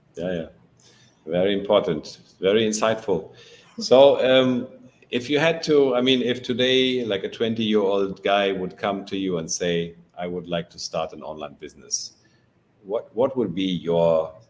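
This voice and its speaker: Lively intonation from a man at a fairly low pitch, at a moderate pace. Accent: German. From Germany. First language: German. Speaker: podcast host. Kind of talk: interview.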